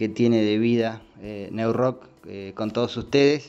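At a very slow pace, a man with a medium-pitched voice speaks with fairly even intonation. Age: 40s. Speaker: digital radio director. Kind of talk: recorded voice message. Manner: halting, many fillers.

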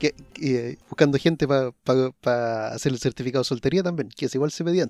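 Over music in the background, a man with a Chilean accent talks at a fairly quick pace with hardly any pauses, at medium pitch with ordinary pitch variation, in a dry, close sound with no echo. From Chile, Araucanía region. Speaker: podcast co-host. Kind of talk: casual chat.

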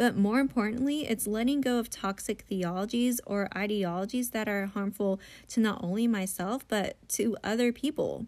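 On a very clean recording with a silent background, a woman speaks in an American accent at a fairly high pitch with ordinary pitch variation. She keeps a moderate pace with hardly any pauses. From US, Filipino American family. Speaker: podcast host. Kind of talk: personal monologue.

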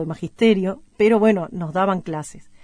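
A woman speaks with a Uruguayan accent. Her tone is dark and mellow. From Uruguay, Paysandú. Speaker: singer-songwriter. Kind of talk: radio music show presenting. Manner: hesitant, repeating words.

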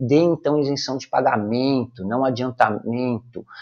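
A man talks in a plain, everyday voice at a moderate pace, on a very clean recording with a silent background. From Brazil, São Paulo city (Brás). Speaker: numerology consultant and podcaster. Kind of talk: opinion commentary monologue.

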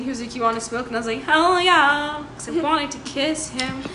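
A woman speaks fairly quickly in a raised, projected voice at a high pitch with ordinary pitch variation. Audible room echo and noticeable background noise surround her. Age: 20s. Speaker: podcast co-host. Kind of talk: casual chat.

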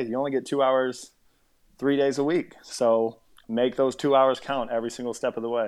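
Very fast speech from a man with an American accent, medium pitch and monotone, flat intonation. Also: quiet background. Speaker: football player. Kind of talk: interview.

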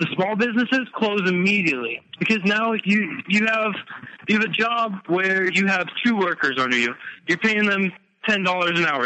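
This man talks at a fairly quick pace in a high voice with ordinary pitch variation. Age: 20s. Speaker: navy veteran, guest. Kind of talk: casual discussion, political talk. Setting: phone call.

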